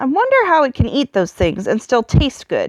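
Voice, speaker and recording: At a moderate pace, a woman performs a put-on character voice with a high pitch. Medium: read story. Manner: blunt, contemptuous.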